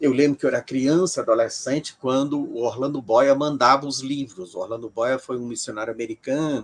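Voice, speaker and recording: At a fairly quick pace, a man speaks in a medium pitch with fairly even intonation, the sound dry and close with no echo. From Brazil, Ceará. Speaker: professor of religious studies. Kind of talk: interview. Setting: livestream video call.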